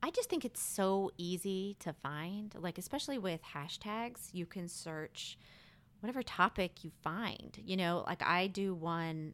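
A woman with an American accent and a plain, everyday voice talks at a fairly slow pace in a fairly low pitch with ordinary pitch variation, on a very clean recording with a silent background. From Maryland, outside Washington DC. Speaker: Instagram photographer, stay-at-home mom. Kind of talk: casual interview.

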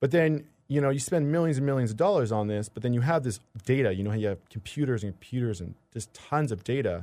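This man speaks at a fairly quick pace with ordinary pitch variation. The recording is very clean, with a silent background. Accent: Canadian. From Canadian Prairies, rural Manitoba. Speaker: medical research student. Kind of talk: casual interview. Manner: halting.

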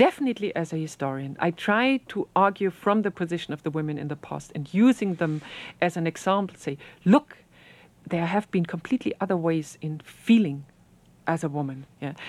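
At a fairly quick pace, a woman with a German accent speaks with a fairly low pitch and lively intonation, in dry, close sound with no echo. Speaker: historian. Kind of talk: interview. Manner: halting.

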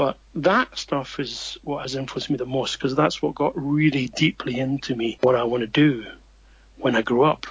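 A man speaks with a Scottish accent at a fairly high pitch. His voice is somewhat breathy. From Scotland. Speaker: comics writer. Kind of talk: interview.

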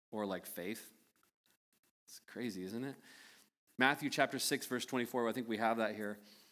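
A man with an American accent speaks at a medium pitch and moderate pace in a bright, sharp tone, his intonation fairly even and his loudness swinging widely. Long, frequent pauses break his speech. The recording is very clean, with a silent background. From United States. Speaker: pastor. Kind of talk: sermon. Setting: church service with congregation. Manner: halting.

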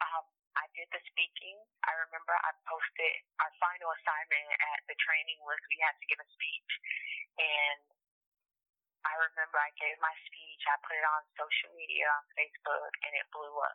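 A woman speaks at a moderate pace with an American accent. She leaves long, frequent pauses. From Miami, Florida. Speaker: motivational speaker. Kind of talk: interview conversation.

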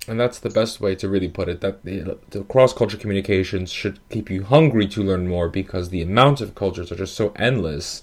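A man with an ordinary speaking voice and an American accent, fairly low in pitch, at a fairly quick pace with hardly any pauses and ordinary pitch variation, in a very clean recording with a silent background. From New York, Italian and Dominican heritage. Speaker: podcast host and consultancy director. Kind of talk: interview conversation.

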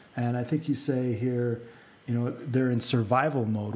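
At a moderate pace, a man talks in a plain, everyday voice of medium pitch. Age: 30s. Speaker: podcast host. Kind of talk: casual interview.

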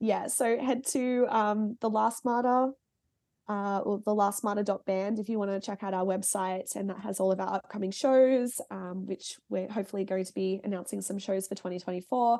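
With an Australian accent, a woman talks at medium pitch and a moderate pace, her tone dark and mellow and her intonation fairly even. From Singapore and Melbourne, Australia. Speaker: heavy band musician and music journalist. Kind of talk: casual chat.

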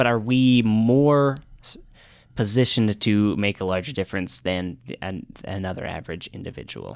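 A man with an American accent and an ordinary speaking voice, fairly low in pitch, at a moderate pace with big swings in loudness, on a very clean recording with a silent background. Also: ordinary pitch variation. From US Northeast (Boston). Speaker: graduate student in microbiology. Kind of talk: casual chat.

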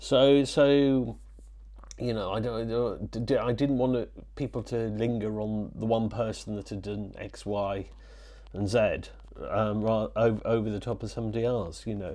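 With a Yorkshire accent, a man talks at a moderate pace and a medium pitch. His tone is dark and mellow, and his intonation fairly even. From Yorkshire (born in Wales). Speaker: photographer. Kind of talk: interview. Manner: halting, many repetitions and fillers.

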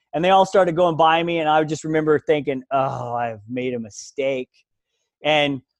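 At a moderate pace, this is a normal speaking voice with ordinary pitch variation. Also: man. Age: 40s. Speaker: ultramarathon runner. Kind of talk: casual interview.

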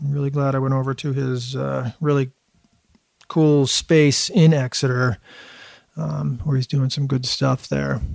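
A man with an American accent at a medium pitch, fairly slow and fairly even, with long, frequent pauses. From Boston area, Massachusetts. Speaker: podcast host. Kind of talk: podcast intro monologue; casual chat. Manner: filler-heavy, hesitant.

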